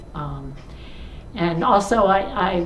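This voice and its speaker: A woman's fairly low-pitched voice with noticeable background noise and audible room echo. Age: 70s. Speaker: church member. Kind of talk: testimony. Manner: halting.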